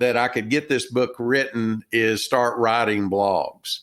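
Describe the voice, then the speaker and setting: A man with a Texan accent speaks at a very slow pace. The recording is very clean, with a silent background. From Texas. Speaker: retired business owner and author. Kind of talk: interview. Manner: halting, many fillers.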